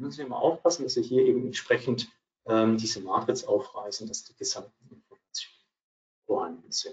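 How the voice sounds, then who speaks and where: A man at a fairly quick pace, with big swings in loudness. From Swabia, southwestern Germany. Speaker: accounting advisor, co-presenter. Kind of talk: webinar presentation. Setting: virtual webinar.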